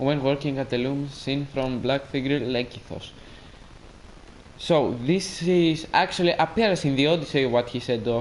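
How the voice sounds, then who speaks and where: Speaking fairly slowly with a Greek accent, the man uses a fairly high pitch and ordinary pitch variation. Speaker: gaming streamer. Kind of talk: casual live stream commentary.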